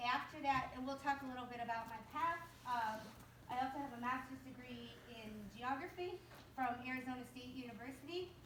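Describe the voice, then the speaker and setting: A woman's high-pitched voice moves at a fairly quick pace with ordinary pitch variation. Noticeable background noise and audible room echo fill the recording. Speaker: guest speaker, urban planning professional. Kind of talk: guest lecture to a class. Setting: classroom. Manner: fast; hesitant, many fillers.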